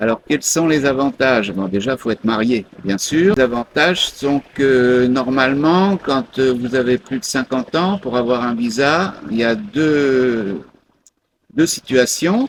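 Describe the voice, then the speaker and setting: Lively intonation at a very slow pace. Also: man, medium pitch for a man. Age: 60s. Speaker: expatriate retiree. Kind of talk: interview. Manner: hesitant with many fillers.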